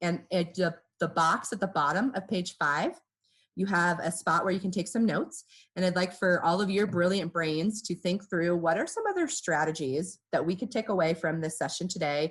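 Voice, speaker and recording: A somewhat breathy woman at a fairly low pitch, fairly quick, with ordinary pitch variation and a quiet background. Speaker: workshop facilitator. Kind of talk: online workshop. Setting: video call. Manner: conversational.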